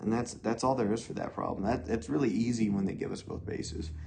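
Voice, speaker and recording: Room echo is audible, along with noticeable background noise. The speech moves at a fairly quick pace. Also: man. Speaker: math teacher. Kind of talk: tutorial.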